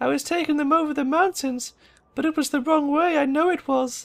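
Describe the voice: A put-on character voice, high in pitch, moves along at a moderate pace.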